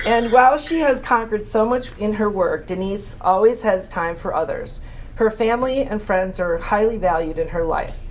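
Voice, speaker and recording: A woman's fairly high voice moves at a moderate pace with ordinary pitch variation, heard through audible room echo and noticeable background noise. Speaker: award presenter. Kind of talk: reading aloud a tribute speech. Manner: loud. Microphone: no microphone.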